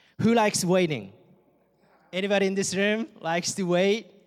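A man with a Japanese accent talks at a high pitch and a moderate pace, with ordinary pitch variation. The recording is very clean, with a silent background. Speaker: campus missionary. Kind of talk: sermon. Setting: church.

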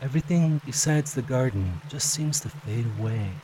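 Ordinary pitch variation marks this man's fairly high-pitched, unremarkable speaking voice. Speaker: hypnosis audio creator. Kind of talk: guided hypnosis induction. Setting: recorded audio for solo listening. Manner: slow, soothing, hypnotic, with gentle pauses; calm, soft-spoken, dreamy.

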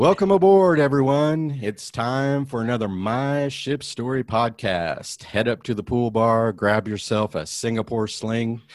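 A man speaks in an ordinary speaking voice at medium pitch. His pace is fairly slow and his intonation lively. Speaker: podcast host. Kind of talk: casual interview, podcast hosting. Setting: video call.

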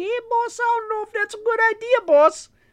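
Put-on character voice, extremely high-pitched, delivered at a moderate speed. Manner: gruff, street-tough.

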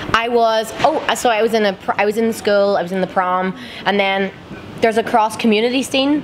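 Over noticeable background noise, a woman with an Irish accent speaks in a fairly high voice at a moderate pace, her tone animated and upbeat. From Ireland. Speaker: Eurovision contestant singer. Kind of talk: casual interview chat. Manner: excitable, animated, upbeat.

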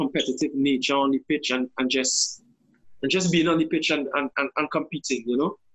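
Using a plain, everyday voice, a man with a fairly high pitch speaks at a moderate pace with fairly even intonation. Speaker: football coach. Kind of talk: serious discussion. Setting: video call from abroad.

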